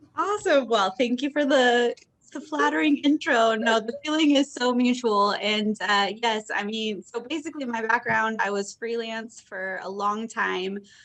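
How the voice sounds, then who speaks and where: Over noticeable background noise, a woman with an American accent speaks at a moderate pace and a fairly high pitch, her intonation lively and her pauses hardly any. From US Midwest, Indiana. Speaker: content marketer. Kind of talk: knowledge session talk.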